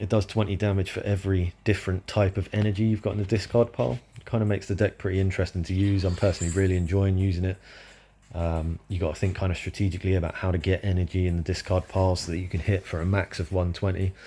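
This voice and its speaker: A man with a British accent talks at a very fast pace in a very deep, low pitch. His dark, mellow tone is somewhat breathy, with fairly even intonation. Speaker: gaming commentator. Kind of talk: gameplay commentary. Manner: casual, conversational.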